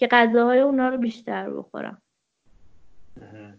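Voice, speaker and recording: A woman's high-pitched voice at a moderate pace. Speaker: children's coach. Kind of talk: casual chat.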